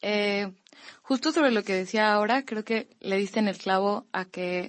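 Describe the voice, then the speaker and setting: At a fairly slow pace, a woman talks in an unremarkable speaking voice at a medium pitch. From Mexico, Campeche. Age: 20s. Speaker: young writer and literature student. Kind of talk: panel discussion.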